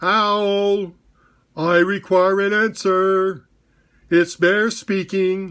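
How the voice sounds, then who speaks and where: In a put-on character voice, the speaker talks loudly at a middle pitch with monotone, flat intonation, a very slow pace, and long, frequent pauses. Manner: very loud, demanding.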